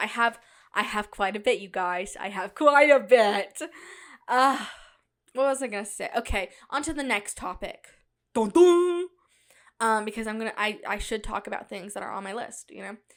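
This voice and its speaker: With long, frequent pauses and big swings in loudness, a woman speaks at a moderate pace in a very clean recording with a silent background. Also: fairly high pitch for a woman, lively intonation. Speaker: solo podcast host or vlogger. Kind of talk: informal, filler-heavy. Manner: casual, rambling, chatty.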